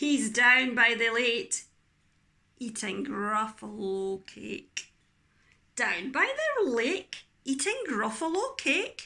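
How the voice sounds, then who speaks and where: A woman speaks very slowly in a put-on character voice pitched high. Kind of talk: bedtime story. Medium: read story.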